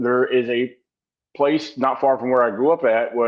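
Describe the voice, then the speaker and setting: This man talks at a fairly quick pace with fairly even intonation. He has a slight Virginia accent. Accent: slight Virginia twang. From Massachusetts, raised partly in Virginia.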